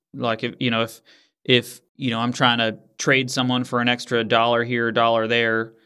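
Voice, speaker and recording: A man speaks at medium pitch and a moderate pace, with a bright, sharp tone. The recording is very clean, and the background is silent. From US Northeast. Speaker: podcast host. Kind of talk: casual interview.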